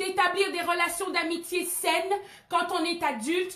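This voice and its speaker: The woman's pitch is extremely high, with a bright, sharp tone. She speaks at a fairly slow pace. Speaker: pastor. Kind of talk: sermon. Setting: live stream. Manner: hesitant, many euh fillers.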